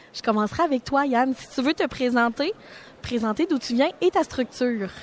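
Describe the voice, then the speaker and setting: A high-pitched woman with a Quebec accent and lively intonation, dry and close with no echo, amid noticeable background noise. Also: moderate pace. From Quebec, Mauricie. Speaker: social economy communications worker, moderator. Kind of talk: radio panel discussion. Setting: live radio set at a forum.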